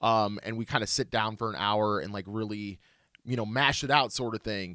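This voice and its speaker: Over a very clean recording with a silent background, a man with an American accent speaks at a moderate pace in a bright, sharp tone, fairly low in pitch with ordinary pitch variation. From US Midwest (St. Louis). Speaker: podcast host, reseller. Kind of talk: casual chat.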